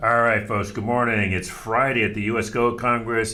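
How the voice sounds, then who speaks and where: Putting on a character voice, a man speaks at a moderate pace in a hoarse, medium-pitched voice with monotone, flat intonation over light background noise. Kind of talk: casual broadcast host.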